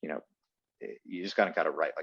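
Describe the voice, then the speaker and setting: A man's voice, dry and close with no echo. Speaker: TV news anchor. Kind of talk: casual interview.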